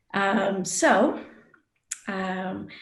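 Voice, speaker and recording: Somewhat breathy, a woman's voice comes through. Audible room echo surrounds it. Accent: American. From United States. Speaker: design educator, panel moderator. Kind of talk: panel discussion introduction.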